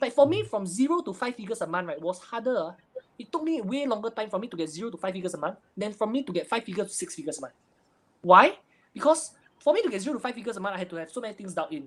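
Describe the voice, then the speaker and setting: A man at a high pitch, talking at a very fast pace with very wide pitch swings. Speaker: online marketing entrepreneur. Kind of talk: interview.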